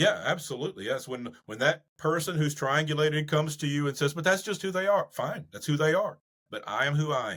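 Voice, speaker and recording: Talking at a fairly quick pace with hardly any pauses, a man with a Southern US accent uses a fairly high voice with ordinary pitch variation. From US South. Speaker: psychologist. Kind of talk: podcast interview.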